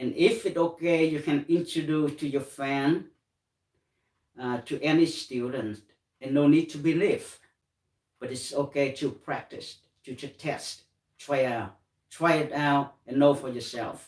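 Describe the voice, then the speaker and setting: With a Vietnamese accent, a man speaks at a fairly slow pace and fairly high pitch, with ordinary pitch variation, big swings in loudness, and long, frequent pauses. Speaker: meditation teacher. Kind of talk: guided meditation. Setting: live stream. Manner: halting.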